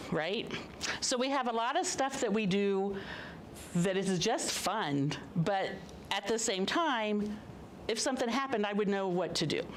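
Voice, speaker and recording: A woman speaks at a moderate pace with lively intonation. Audible room echo and noticeable background noise are present. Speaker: amateur radio operator giving a talk. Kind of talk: public talk to an audience. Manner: animated.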